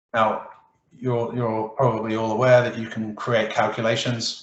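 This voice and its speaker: Audible room echo surrounds a man with a medium pitch. He talks at a moderate pace in a monotone, flat intonation. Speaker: Excel presenter. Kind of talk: tutorial. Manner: hesitant, many fillers and restarts.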